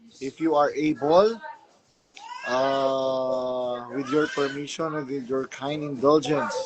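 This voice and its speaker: A man shouts at a very slow pace. His pitch is fairly high, and his intonation stays fairly even. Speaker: livestream host. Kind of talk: casual livestream chat. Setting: live stream.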